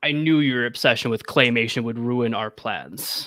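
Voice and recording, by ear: Booming in a put-on character voice, a man sounds menacing as he speaks at a moderate pace and medium pitch with fairly even intonation.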